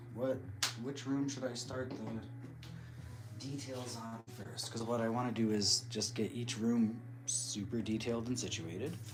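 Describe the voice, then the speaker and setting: A soft-spoken, mumbling voice moves at a fairly slow pace in a monotone, flat intonation. Music plays in the background and the room echo is audible. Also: man, medium pitch for a man. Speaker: crafting livestreamer. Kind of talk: casual livestream chat while crafting.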